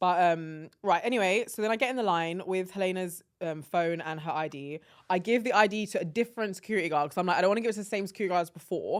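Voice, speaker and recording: With an English accent, a woman talks at a very fast pace in an animated tone. She hardly pauses, and the recording is very clean with a silent background. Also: medium pitch for a woman, ordinary pitch variation. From London, England. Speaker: podcast co-host. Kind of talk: casual chat.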